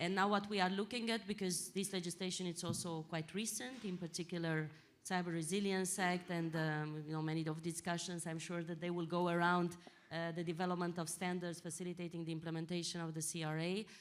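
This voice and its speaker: A woman's monotone, flat delivery against audible room echo. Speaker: European Commission official. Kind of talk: panel discussion. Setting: conference stage with audience. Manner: loud; halting. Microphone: too far from the mic.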